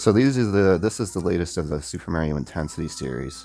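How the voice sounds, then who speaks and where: Soft-spoken with vocal fry, a man talks at a fairly quick pace. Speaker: gaming YouTuber. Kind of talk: casual gameplay vlog. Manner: halting, repeats words.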